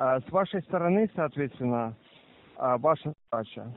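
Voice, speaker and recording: The recording has light background noise and a dry sound with no echo, carrying a man's fairly high-pitched voice. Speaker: phone scammer posing as police officer. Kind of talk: scam phone call. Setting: phone call. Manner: formal. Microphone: phone line.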